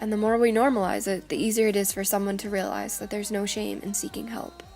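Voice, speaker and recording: Music plays in the background as a woman talks at a very fast pace. Her medium-pitched voice keeps fairly even intonation. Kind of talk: video essay narration.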